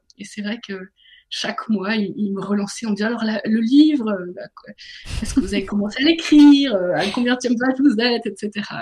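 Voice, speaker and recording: A woman with a fairly high, somewhat breathy voice speaks at a moderate pace, her loudness swinging widely. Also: ordinary pitch variation. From northern France. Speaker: author and business coach. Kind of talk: radio interview.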